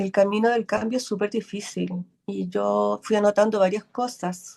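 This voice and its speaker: Dark and mellow in tone, a woman talks very slowly. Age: 60s. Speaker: workshop participant. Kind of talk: casual chat. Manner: halting.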